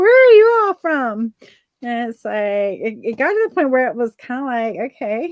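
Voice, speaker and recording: A high-pitched woman with a Southern accent, very wide pitch swings and a moderate pace. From Virginia, US South. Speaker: artist guest. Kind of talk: casual chat. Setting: live video stream.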